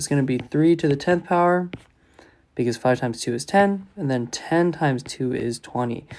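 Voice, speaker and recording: This man has a fairly high pitch, ordinary pitch variation and a fairly quick pace. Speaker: math teacher. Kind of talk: tutorial.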